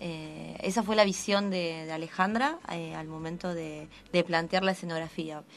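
A normal speaking voice with fairly even intonation at a fairly slow pace, over light background noise. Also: woman, fairly low pitch for a woman. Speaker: actress. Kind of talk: radio interview answer. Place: studio. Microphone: studio mic.

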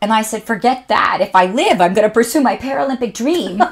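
In a Canadian accent, a woman with a fairly high pitch speaks at a fairly quick pace in an animated tone. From Canada. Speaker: motivational speaker and author; motivational speaker. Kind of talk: casual interview chat. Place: studio. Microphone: studio mic.

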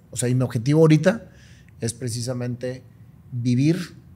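A man's somewhat breathy, dark, mellow voice at a moderate pace, with ordinary pitch variation. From Monterrey, northern Mexico; Mexico. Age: 50s. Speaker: businessman and motivational speaker; motivational speaker. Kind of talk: interview conversation. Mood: reflective, earnest. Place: home room. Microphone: studio mic.

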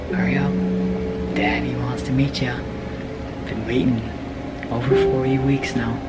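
A man is talking at a moderate pace. Background music accompanies him. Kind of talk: casual vlog chat. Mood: nervous, excited, tender. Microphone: phone near.

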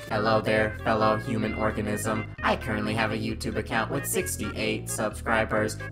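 Over loud background music, a man puts on a robotic character voice at a moderate pace. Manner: stiff, mocking.

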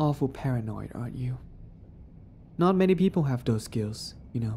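A woman's very deep, low voice, somewhat breathy, with a dark, mellow, menacing tone, ordinary pitch variation and moderate pace. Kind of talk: dramatic scripted roleplay narration. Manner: sassy, teasing, menacing, swaggering, with laughs; softening to vulnerable and tender.

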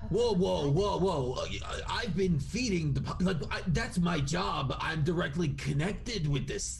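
Against clear background noise, a man puts on a character voice pitched high and speaks at a very slow pace. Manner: protective, indignant.

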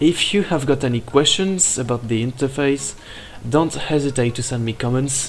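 Over music in the background, a man speaks at a moderate pace in a fairly high pitch. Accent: non-native. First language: not English. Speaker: animation software tutorial maker. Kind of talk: software tutorial narration. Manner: loud.

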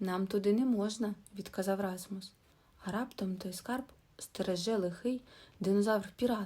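The clip is read in a natural reading voice. It is a natural reading voice throughout.

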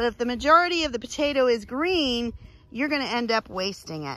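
Speaking at a moderate pace, a woman uses lively intonation and a bright, sharp tone. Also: dry sound with no echo. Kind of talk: tutorial. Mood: firm, myth-busting. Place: farm machine. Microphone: phone near.

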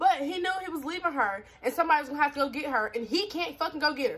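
The voice has an animated tone and moves at a very fast pace. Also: woman. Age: 20s. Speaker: YouTuber. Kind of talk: casual vlog chat. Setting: at home on camera. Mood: candid, animated storytelling. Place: home room. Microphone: phone near.

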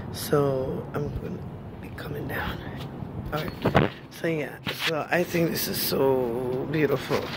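A woman speaks at a very slow pace. Loud background noise fills the dry recording, which has no echo. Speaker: vlogger. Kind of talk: casual vlog chat. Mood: calm, relaxed. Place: street. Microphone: phone near.

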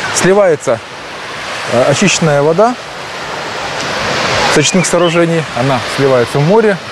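Noticeable background noise runs under the recording. A man talks, and the sound is dry with no echo. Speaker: vlogger. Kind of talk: casual vlog chat. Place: beach. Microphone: lapel.

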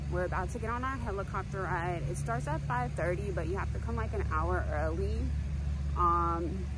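A woman speaks in a dry space with no echo. Loud background noise runs throughout. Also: moderate pace. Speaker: travel vlogger. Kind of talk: casual vlog chat. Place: street. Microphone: phone near.

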